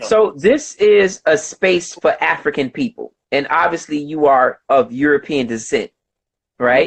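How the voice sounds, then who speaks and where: A man with an American accent and an ordinary speaking voice at a fairly slow pace, the sound dry and close with no echo. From United States. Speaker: host of online discussion. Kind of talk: debate. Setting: video conference.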